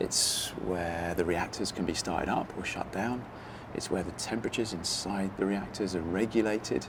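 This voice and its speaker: Very deep and low in pitch, a man speaks quietly at a moderate pace with fairly even intonation over noticeable background noise. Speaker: TV presenter and engineer. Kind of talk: documentary presenting. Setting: on location at power station. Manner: quiet, hushed.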